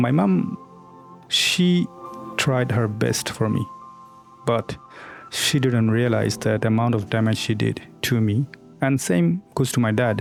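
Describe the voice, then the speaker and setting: A man speaks at a medium pitch and a fairly slow pace, leaving long, frequent pauses. His pitch varies in an ordinary way, his loudness stays very even, and music plays in the background. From Bangladesh. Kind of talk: personal story told to camera.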